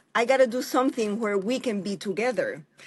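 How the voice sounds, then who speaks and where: A woman with a somewhat breathy, fairly high voice talks at a moderate speed, her intonation lively. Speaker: mixed media artist and instructor. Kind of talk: interview.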